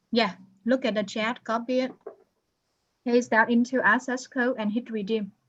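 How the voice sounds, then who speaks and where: Someone with a non-native accent speaks in a flat monotone, leaving long, frequent pauses. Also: woman, fairly high pitch for a woman. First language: not English. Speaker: accounting instructor. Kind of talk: online class, one-on-one help. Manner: slow.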